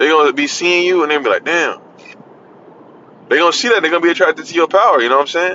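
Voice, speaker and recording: Against noticeable background noise, a man with a high pitch talks at a very fast pace, showing ordinary pitch variation and long, frequent pauses. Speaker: religious video preacher. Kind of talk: casual sermon monologue. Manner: halting, hesitant.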